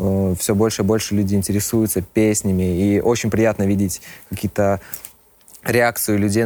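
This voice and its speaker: A man's fairly low voice has a dark, mellow tone, with monotone, flat intonation, very even loudness and a moderate pace. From Belarus, Minsk. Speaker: rock band vocalist. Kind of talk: casual interview.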